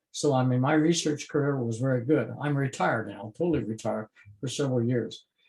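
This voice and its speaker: Speaking at a very fast pace with an American accent, a man sounds somewhat breathy and uses ordinary pitch variation. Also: medium pitch for a man. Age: 80s+. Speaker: retired biochemistry professor. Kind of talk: interview. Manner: halting, many filler sounds.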